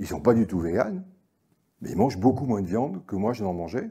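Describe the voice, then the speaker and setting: A man's lively intonation carries through speech at a moderate pace. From Normandy, France. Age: 60s. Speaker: agricultural economist speaker. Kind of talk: conference talk. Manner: hesitant, many fillers and repetitions.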